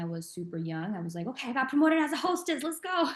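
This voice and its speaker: A woman with a Spanish accent talks at a very fast pace. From Mexico. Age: 20s. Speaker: entrepreneur. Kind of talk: interview.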